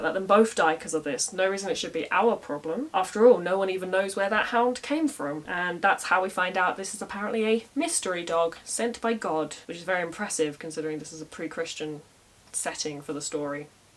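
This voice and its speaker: Against noticeable background noise, a woman talks very fast with hardly any pauses, lively intonation and big swings in loudness. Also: medium pitch for a woman. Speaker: storyteller, medieval Irish scholar. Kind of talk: casual storytelling to camera. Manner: humorous, conversational.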